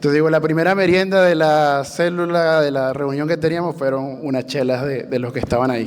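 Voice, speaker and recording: With audible room echo and noticeable background noise, a man in a Venezuelan accent talks at a fairly quick pace, his fairly high pitch held to fairly even intonation. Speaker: church planter, bivocational pastor. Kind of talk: panel testimony.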